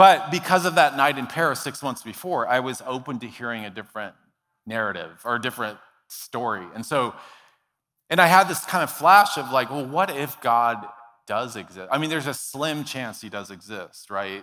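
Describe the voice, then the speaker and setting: An ordinary speaking voice, this man has a medium pitch and an American accent. He keeps a moderate pace, with big swings in loudness. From US, Dallas, Texas. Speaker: author and speaker sharing his faith story. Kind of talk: testimony. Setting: church stage with audience.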